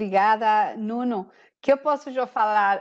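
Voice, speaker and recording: Speaking at a fairly slow pace, a woman with a Spanish accent uses a medium pitch and ordinary pitch variation. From Costa Rica. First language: Spanish (speaking Portuguese). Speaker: sales executive. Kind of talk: webinar presentation. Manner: halting.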